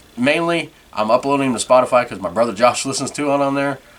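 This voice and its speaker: The speaker moves at a fairly quick pace with ordinary pitch variation. Noticeable background noise runs underneath. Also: man. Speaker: podcast host. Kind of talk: casual solo podcast monologue. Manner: fast; tongue-tied, flustered.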